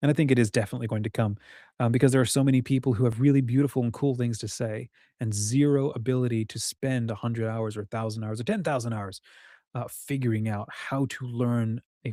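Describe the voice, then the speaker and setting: A very fast man's voice at medium pitch, dark and mellow in tone, with fairly even intonation, a dry, close sound with no echo, and a very clean recording with a silent background. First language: French. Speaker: writing community host. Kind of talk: livestream monologue. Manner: casual, rambling.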